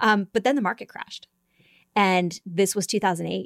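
Captured dry and close with no echo, a woman of medium pitch speaks in an unremarkable speaking voice. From upstate New York. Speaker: policy analyst. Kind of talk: podcast interview.

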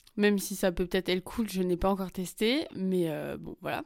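Here a woman speaks at a medium pitch. The recording is very clean, with a silent background. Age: 20s. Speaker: podcast host. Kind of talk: casual personal monologue. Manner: casual, many fillers and hesitations.

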